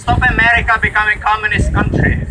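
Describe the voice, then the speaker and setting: Someone with a Czech accent speaks over noticeable background noise. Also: man. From Czech Republic. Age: 40s. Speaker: protest speaker. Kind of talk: protest speech.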